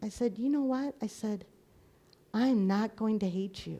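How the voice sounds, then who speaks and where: Somewhat breathy and dark, mellow in tone, a woman speaks in a fairly high pitch at a fairly slow pace. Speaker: minister. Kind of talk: sermon. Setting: live recording in a church.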